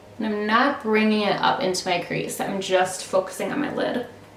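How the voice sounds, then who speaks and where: A medium-pitched woman's voice at a moderate pace, fairly even in intonation, with audible room echo and noticeable background noise. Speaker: beauty YouTuber. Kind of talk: makeup tutorial. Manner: casual, chatty.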